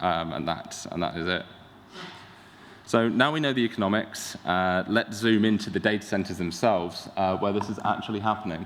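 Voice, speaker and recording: A man talks at a fairly quick pace with a London accent. His pitch varies in an ordinary way. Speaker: tech startup founder. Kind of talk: conference talk. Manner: hesitant, many fillers.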